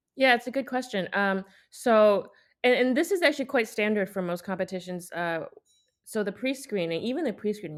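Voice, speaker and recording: This is a woman with an unremarkable speaking voice and lively intonation at a moderate pace. The recording is very clean against a silent background. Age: 20s. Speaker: violinist, competition winner. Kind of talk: interview, casual conversation.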